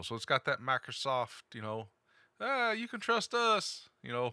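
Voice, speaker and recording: In a dry, close sound with no echo and a very clean recording with a silent background, a man with an Appalachian accent speaks at a moderate pace in a bright, sharp tone with very wide pitch swings. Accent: Appalachian Southern US. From eastern Kentucky, US. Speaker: tech podcast host. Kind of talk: casual chat.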